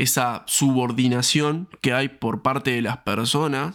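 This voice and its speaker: A man with a medium pitch speaks at a very slow pace on a very clean recording with a silent background. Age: 20s. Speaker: fitness coach and podcast host. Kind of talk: solo podcast monologue. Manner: hesitant, frequent fillers and repetitions.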